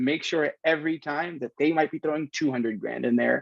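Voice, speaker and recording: A man with an American accent has an unremarkable speaking voice, fairly high in pitch with ordinary pitch variation. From New Jersey. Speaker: tech executive and athlete advisor. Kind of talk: podcast interview.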